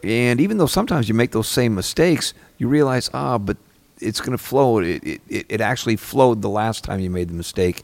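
An unremarkable speaking voice from a man at medium pitch. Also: lively intonation, fairly quick pace. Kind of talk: casual chat. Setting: stage with audience.

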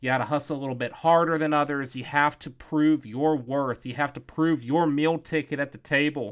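On a very clean recording with a silent background, a man with a fairly high pitch and a plain, everyday voice talks at a fairly quick pace with fairly even intonation and hardly any pauses. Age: 30s. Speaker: podcast host, digital marketer. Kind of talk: casual podcast monologue and interview.

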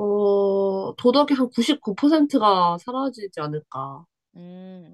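A woman at medium pitch, with lively intonation, a very slow pace and a dry, close sound with no echo. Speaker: graduate student and former college radio member. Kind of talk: casual chat. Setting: remote connection.

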